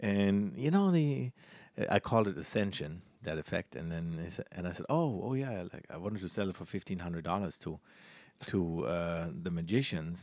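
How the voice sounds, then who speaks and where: A man with a German accent speaks at a moderate pace, his pitch very deep and low. His intonation is lively, on a very clean recording with a silent background. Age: 40s. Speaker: magician. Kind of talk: interview. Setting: cruise ship.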